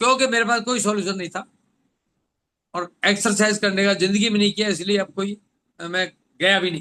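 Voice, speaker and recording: A man's raised, projected voice, high in pitch, with a bright, sharp tone and fairly even intonation. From Rajasthan, India. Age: 70s. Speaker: doctor and health product speaker. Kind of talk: motivational talk.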